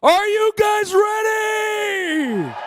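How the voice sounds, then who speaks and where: Shouting in a put-on character voice, a man reaches an extremely high pitch. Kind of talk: esports host. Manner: loud, shouting.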